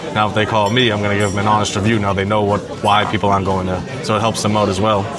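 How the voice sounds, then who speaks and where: A man with an American accent at a very fast pace, fairly low pitch, monotone, flat intonation and very even loudness, with audible room echo and music in the background. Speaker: food content creator. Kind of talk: live podcast interview. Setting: diner with live audience. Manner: quiet, low-talking.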